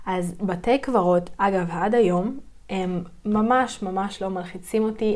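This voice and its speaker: The speaker is a woman talking at a very slow pace. Her pitch varies in an ordinary way. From southern Israel, Yeruham. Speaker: podcast host, spiritual practitioner. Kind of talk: personal storytelling monologue. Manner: hesitant, many fillers.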